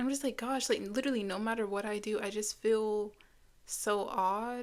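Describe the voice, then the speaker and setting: A woman speaks at a fairly slow pace, fairly high in pitch, with fairly even intonation. The recording is very clean, with a silent background. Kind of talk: casual talk to camera. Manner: casual, reflective.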